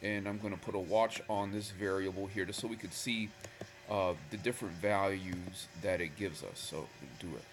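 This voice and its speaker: Over noticeable background noise, a man speaks at a fairly low pitch and moderate pace. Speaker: Excel VBA tutorial maker. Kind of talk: casual screen-recorded tutorial. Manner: casual, hesitant with fillers.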